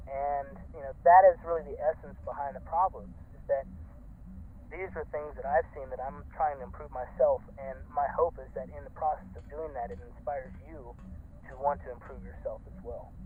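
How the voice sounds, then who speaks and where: With an American accent, a man talks at a moderate pace, his loudness swinging widely. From North Carolina, US South. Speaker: costuming club leader. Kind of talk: interview. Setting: online call. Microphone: garbled, poor sound quality.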